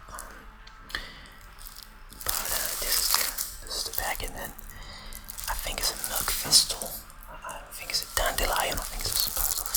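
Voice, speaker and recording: Whispering at a moderate pace, the speaker leaves long, frequent pauses against noticeable background noise. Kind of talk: ASMR whispering and soft talk about vinyl records, casual talk to camera. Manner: whispered, soft-spoken.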